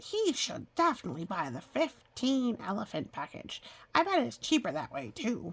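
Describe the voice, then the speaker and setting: Someone does a put-on character voice, fairly high in pitch, at a moderate pace. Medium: read story. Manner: polite, earnest.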